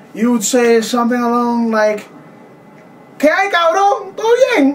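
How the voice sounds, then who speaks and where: A man speaks at a fairly slow pace with an extremely high pitch and lively intonation. His loudness stays very even over noticeable background noise. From Puerto Rico, San Juan. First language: Spanish. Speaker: college student. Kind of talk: interview. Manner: halting.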